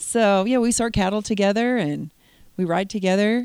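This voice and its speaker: Recorded very cleanly against a silent background, a woman with an American accent talks at a moderate pace. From Oregon. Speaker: rancher. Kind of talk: interview.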